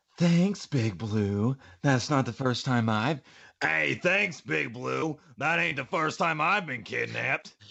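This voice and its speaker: At a fairly slow pace, a man performs a put-on character voice at medium pitch. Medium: game stream.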